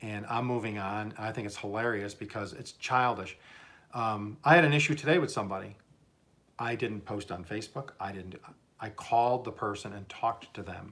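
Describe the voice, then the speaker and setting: With an American accent, a man talks at a moderate pace in a fairly low pitch, his loudness swinging widely while his pitch varies in an ordinary way. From southern Oklahoma. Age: 60s. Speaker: YouTuber, cooking and gardening channel host. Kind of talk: livestream casual chat. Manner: halting, many repetitions and fillers.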